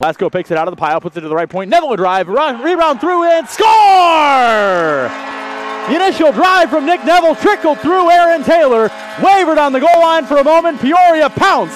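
An excited man speaks at a fairly quick pace with an extremely high pitch and very wide pitch swings. Noticeable background noise runs underneath. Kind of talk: live play-by-play hockey commentary over game highlights. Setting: arena broadcast, highlight reel. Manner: fast, clipped, rapid-fire play-by-play; excited, rising call on each goal.

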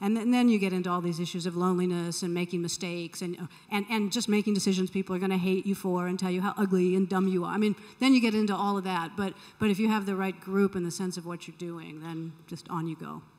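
A woman with an American accent, very fast and fairly even in intonation, over a quiet background. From California. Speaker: tech foundation leader; conference panelist. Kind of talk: panel discussion. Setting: stage with audience. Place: hall.

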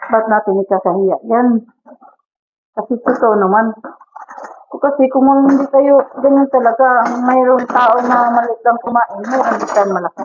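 A woman's high-pitched voice at a moderate pace. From Philippines. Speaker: domestic helper vlogger. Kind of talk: casual vlog talk. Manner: animated, chatty.

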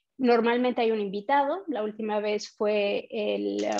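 A woman's fairly high voice at a fairly slow pace, against a quiet background. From Mexico. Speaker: community manager; presenter. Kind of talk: online meetup hosting and quiz. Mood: friendly, upbeat. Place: home room. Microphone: webcam.

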